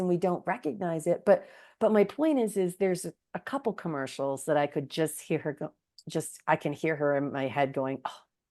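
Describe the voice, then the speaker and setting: A woman talks at a moderate pace with very wide pitch swings. The background is quiet. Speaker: podcast host. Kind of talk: casual interview chat. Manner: animated.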